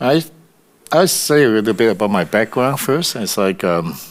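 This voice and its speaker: The man's speech swings very widely in pitch. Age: 60s. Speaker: composer and musician. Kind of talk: interview. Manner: halting, many fillers and repeats.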